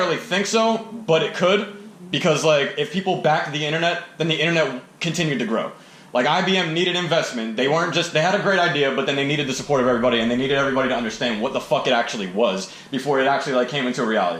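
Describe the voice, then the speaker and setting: A man talks loudly at a very fast pace with lively intonation. Noticeable background noise runs underneath. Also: fairly high pitch for a man. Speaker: rapper and podcast host. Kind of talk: casual podcast conversation. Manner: loud, talkative.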